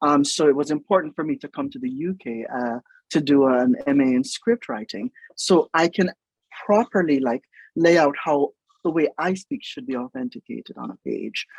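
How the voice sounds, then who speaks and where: With a Jamaican accent, a man of fairly high pitch talks at a moderate pace, using very wide pitch swings and big swings in loudness, in a dry, close sound with no echo. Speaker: writer, producer and stage performer. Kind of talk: interview conversation. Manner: hesitant, many filler words.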